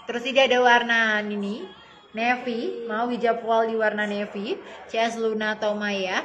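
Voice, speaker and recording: Over faint background music, a woman talks at a fairly slow pace with a fairly high pitch and fairly even intonation. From Indonesia. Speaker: online clothing seller. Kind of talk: live-stream sales pitch rattling off product codes, sizes and prices to viewers. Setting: live stream. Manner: chummy and gushing, constantly calling viewers dear and mom. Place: shop. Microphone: phone near.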